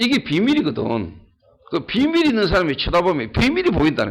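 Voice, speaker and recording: A high-pitched man speaks at a fairly quick pace in an animated tone. His pitch swings very widely. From Ulleungdo, Gyeongsang region, South Korea. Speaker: pastor. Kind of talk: sermon. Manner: animated, emphatic.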